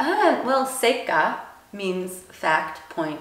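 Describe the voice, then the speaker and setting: A woman with an American accent speaks with lively intonation. Audible room echo and noticeable background noise come through. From US. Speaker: copywriter. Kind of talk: casual interview.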